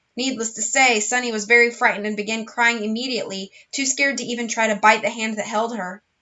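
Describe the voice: Plain reading aloud with fairly even intonation.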